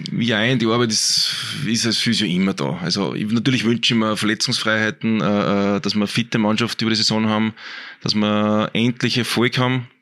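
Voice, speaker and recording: A man talks at a moderate pace with a fairly low pitch and a bright, sharp tone. His loudness is very even, and his pitch varies in an ordinary way. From Austria, Innviertel (Upper Austria). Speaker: sports physiotherapist. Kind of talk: casual interview.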